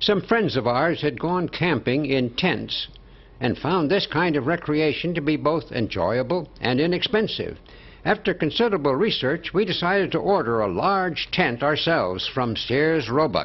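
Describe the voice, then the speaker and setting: A man with a fairly high voice talks at a moderate pace, his loudness very even, his intonation lively and his voice touched with vocal fry. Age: 80s+. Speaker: family home-movie narrator. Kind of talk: scripted narration.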